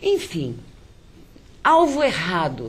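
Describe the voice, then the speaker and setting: A woman's pitch swings very widely, and her voice is somewhat breathy. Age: 60s. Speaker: poet and writer. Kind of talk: interview.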